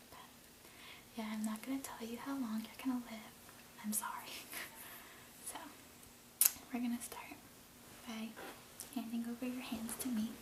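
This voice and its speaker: Soft-spoken and monotone, with flat intonation, a man with an extremely high pitch talks at a moderate pace over noticeable background noise. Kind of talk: ASMR role play, friendly chat. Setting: close-mic, casual one-on-one conversation.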